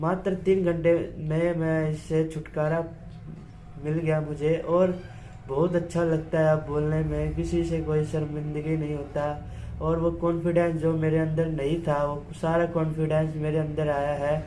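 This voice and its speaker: Monotone, flat intonation amid audible room echo. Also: man, fairly high pitch for a man. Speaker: voice therapy client. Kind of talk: testimony.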